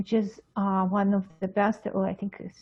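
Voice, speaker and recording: A woman with an Eastern European accent talks at a fairly slow pace in a medium pitch. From Russia, Moscow. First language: Russian. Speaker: pediatric psychologist. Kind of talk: interview. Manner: halting, many fillers.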